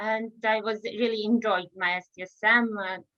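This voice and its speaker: A woman speaks with a Serbian accent. Her fairly high voice is monotone and flat. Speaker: researcher. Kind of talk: interview. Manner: halting.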